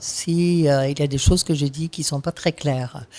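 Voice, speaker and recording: Speaking with a non-native accent, a woman has a dark, mellow tone. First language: not French (speaking French). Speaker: activist speaker. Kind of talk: panel talk. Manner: halting, many fillers.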